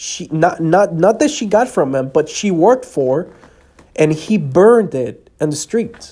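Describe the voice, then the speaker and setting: Speaking at a fairly slow pace with long, frequent pauses, a man with a slight Spanish accent uses lively intonation at a high pitch, his tone dark and mellow. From El Salvador. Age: 20s. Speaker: podcast host. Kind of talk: personal testimony.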